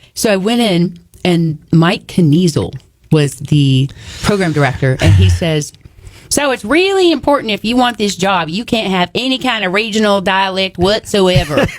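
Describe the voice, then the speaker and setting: A woman's medium-pitched voice with an American accent, lively intonation and a moderate pace, over noticeable background noise. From Texas (small town). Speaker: author and speaker. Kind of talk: casual chat. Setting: radio studio. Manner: animated.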